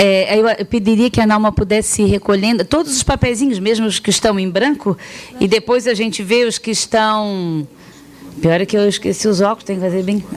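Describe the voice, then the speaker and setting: Here a woman speaks at a fairly quick pace. Her pitch is medium, with ordinary variation. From Florianópolis, Santa Catarina, southern Brazil. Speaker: sex education specialist, pedagogue. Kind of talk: public talk with audience interaction. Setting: talk to parents, students and teachers. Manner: hesitant, many fillers and restarts.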